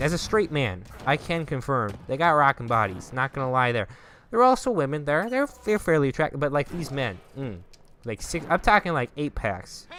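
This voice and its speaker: A man with a Minnesotan accent, a fairly high pitch, very wide pitch swings, a bright, sharp tone and a moderate pace. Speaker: gaming YouTuber. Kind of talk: casual storytelling over gameplay.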